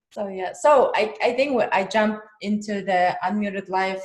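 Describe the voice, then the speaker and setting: A woman speaks with a Russian accent at a medium pitch. Her pitch variation is ordinary. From Kazakhstan. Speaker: podcast host. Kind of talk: casual interview chat.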